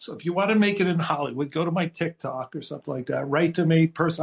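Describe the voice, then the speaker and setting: Hardly pausing, a man with an American accent speaks at a very fast pace and a fairly high pitch. The sound is dry and close, with no echo. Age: 60s. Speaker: screenwriter. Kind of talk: casual chat. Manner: animated.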